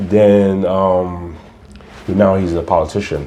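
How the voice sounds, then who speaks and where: A man's very deep, low voice at a very slow pace with fairly even intonation, over noticeable background noise. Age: 40s. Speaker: real estate agent. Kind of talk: casual chat.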